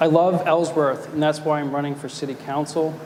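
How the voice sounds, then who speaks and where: Here a man speaks at a fairly high pitch and fairly quick pace in a flat monotone. Audible room echo and noticeable background noise sit behind him. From Maine, South Portland. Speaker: city council candidate, attorney. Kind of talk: candidate forum speech. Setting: stage with live audience.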